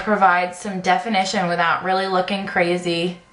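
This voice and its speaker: A woman at a fairly quick pace, over noticeable background noise. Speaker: beauty vlogger. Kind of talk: tutorial. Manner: fast; hesitant with many fillers.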